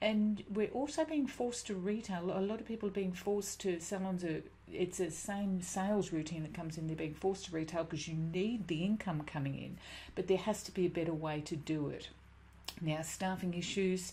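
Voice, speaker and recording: A woman talks fairly quickly at a medium pitch with ordinary pitch variation. Her voice is somewhat breathy, with a dark, mellow tone. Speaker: business coach, former hairdresser. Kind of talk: webinar presentation. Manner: fast.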